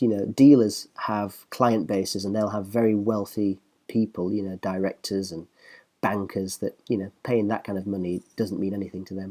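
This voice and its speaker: Speaking at a fairly quick pace, a man with a fairly low pitch and a dark, mellow tone shows big swings in loudness. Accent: Northern English. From northern England. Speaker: professional musician and guitar reviewer. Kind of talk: casual online video commentary. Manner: fast; animated.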